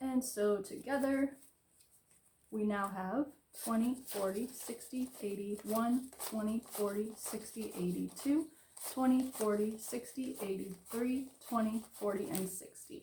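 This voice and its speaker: Speaking in an American accent with an unremarkable speaking voice, a woman talks at a fairly slow pace and a fairly high pitch. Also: ordinary pitch variation. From Florida. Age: 30s. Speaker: budgeting vlogger. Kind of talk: casual tutorial.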